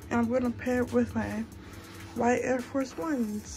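Clear music plays behind a woman speaking at a fairly high pitch. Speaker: college student. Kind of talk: casual talk to camera. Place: home room. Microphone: phone near.

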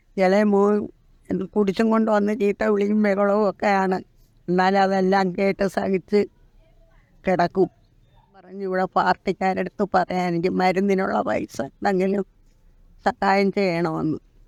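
The sound is dry and close, with no echo. The intonation stays monotone and flat. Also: woman, medium pitch for a woman. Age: 80s. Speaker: elderly heart patient, flat resident. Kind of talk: interview testimony.

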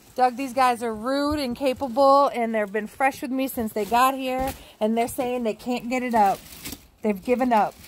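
Over light background noise, a woman speaks at a high pitch with fairly even intonation. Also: moderate pace. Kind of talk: complaining to someone about movers. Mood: frustrated, annoyed. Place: street. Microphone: phone near.

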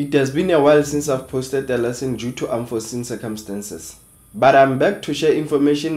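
Very fast speech with ordinary pitch variation. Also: man. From South Africa, Free State. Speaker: online educator, channel founder; online educator. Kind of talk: tutorial. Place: home room.

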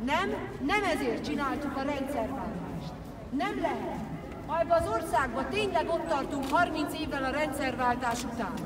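Over crowd noise in the background, a woman speaks at a fairly slow pace with ordinary pitch variation. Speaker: speaker. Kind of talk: political rally speech. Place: street.

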